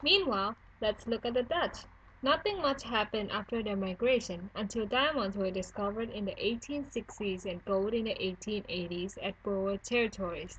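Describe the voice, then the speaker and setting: A moderate pace, ordinary pitch variation and a non-native accent. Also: woman, fairly high pitch for a woman. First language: not English. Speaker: student. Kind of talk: school history presentation narration.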